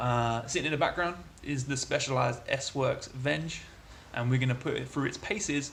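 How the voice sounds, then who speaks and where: A man with a British accent speaks at a fairly high pitch and a moderate pace, with fairly even intonation. There is audible room echo along with noticeable background noise. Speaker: cycling journalist and amateur crit racer. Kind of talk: travel vlog.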